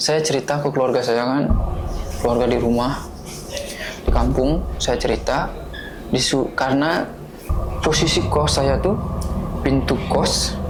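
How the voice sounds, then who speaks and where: The speaker goes at a fairly slow pace with long, frequent pauses, over noticeable background noise. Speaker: podcast guest telling a personal ghost story. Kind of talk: casual storytelling in an interview.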